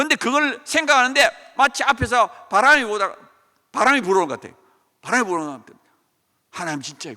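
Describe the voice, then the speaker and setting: An extremely high-pitched, raised and projected male voice, bright and sharp, animated, with very wide pitch swings. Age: 60s. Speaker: professor. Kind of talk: testimony.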